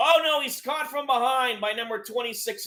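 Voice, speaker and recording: A man's voice is raised and projected at an extremely high pitch. Its tone is bright and sharp. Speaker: live-stream sports commentator. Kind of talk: live play-by-play commentary.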